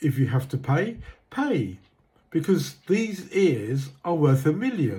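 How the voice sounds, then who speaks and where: A man with a British accent, fairly high pitch, and a dark, mellow tone with vocal fry, at a very slow pace with very wide pitch swings. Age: 60s. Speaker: retired drummer sharing health advice. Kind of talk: casual advice talk. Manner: halting.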